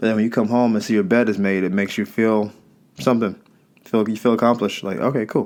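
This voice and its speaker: Here a man talks at a very fast pace. His pitch is fairly low, with an American accent. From US South. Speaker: podcast host. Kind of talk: casual monologue. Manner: animated.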